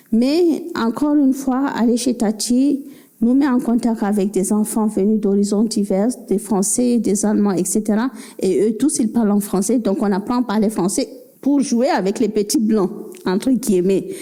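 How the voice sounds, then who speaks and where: Speaking at a fairly slow pace in a West African accent, a woman keeps her fairly high voice at very even loudness. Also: ordinary pitch variation. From Cameroon. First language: Fulfulde (speaking French). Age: 50s. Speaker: novelist. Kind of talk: book club talk.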